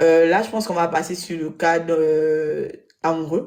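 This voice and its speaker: This woman has a fairly low pitch. She speaks at a fairly slow pace. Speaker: web show panelist. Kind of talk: live panel discussion. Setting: live web broadcast studio.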